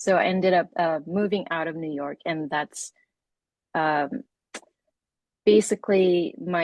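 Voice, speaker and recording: This is a woman's voice, fairly low in pitch. Her pitch varies in an ordinary way. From South Korea. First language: Korean. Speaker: freelance illustrator and designer. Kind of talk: interview.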